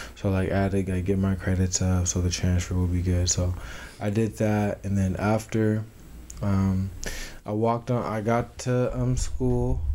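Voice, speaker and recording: A man speaks at a very deep, low pitch with a dark, mellow tone. His loudness stays very even. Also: ordinary pitch variation, moderate pace. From Tucson, Arizona. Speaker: college football player. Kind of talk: casual interview. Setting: small apartment studio. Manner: halting, many fillers.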